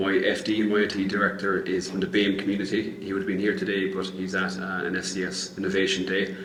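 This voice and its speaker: A speaker with an Irish accent talks at a fairly quick pace in a monotone, flat intonation. Noticeable background noise and audible room echo fill the recording. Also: man. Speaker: business owner, panellist. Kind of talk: panel discussion.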